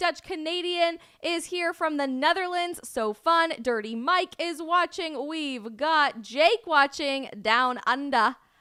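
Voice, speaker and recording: With an American accent, a woman speaks in a raised, projected voice, her tone bright, sharp and animated and her intonation lively, on a very clean recording with a silent background. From Colorado. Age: 20s. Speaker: live streamer and commentator. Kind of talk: live stream chat.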